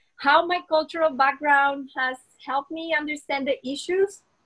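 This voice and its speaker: With a non-native accent, a woman speaks at a moderate pace and ordinary pitch variation. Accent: foreign. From Colombia. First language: Spanish. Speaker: dentist. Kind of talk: interview.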